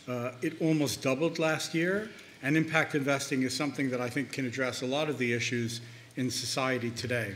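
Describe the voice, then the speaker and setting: A man speaks at a fairly quick pace with an American accent, his pitch medium and its variation ordinary. Room echo is audible. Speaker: investment bank founder, conference panelist. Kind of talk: conference presentation. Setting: conference panel. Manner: halting, with frequent fillers.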